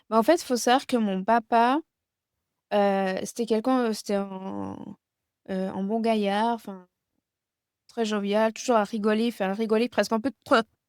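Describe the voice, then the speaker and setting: A woman's fairly high pitch with fairly even intonation, dry and close with no echo, in a very clean recording against a silent background. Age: 30s. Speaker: guest speaking about chronic illness and grief. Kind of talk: interview about personal grief. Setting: video podcast interview. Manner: halting, many hesitations.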